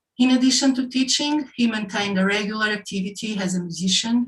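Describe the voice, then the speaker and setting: Fairly quick speech in a Portuguese accent, with fairly even intonation. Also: woman. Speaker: session chair and design professor. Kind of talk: formal introduction of speakers. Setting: online session. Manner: reading from notes, with hesitations.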